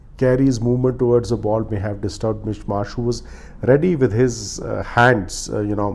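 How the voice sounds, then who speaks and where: With a Punjabi accent, a man speaks at medium pitch and a moderate pace, with ordinary pitch variation. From India. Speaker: cricket commentator, vlogger. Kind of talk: solo review monologue. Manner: many filler 'uh' hesitations.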